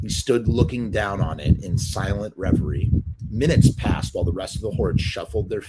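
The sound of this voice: Throughout, the reading voice stays unforced.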